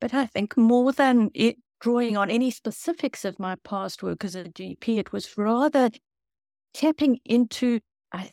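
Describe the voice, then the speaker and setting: On a very clean recording with a silent background and a dry, close sound with no echo, a woman with a South African accent speaks at a moderate pace in a dark, mellow tone with ordinary pitch variation. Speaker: author and former doctor.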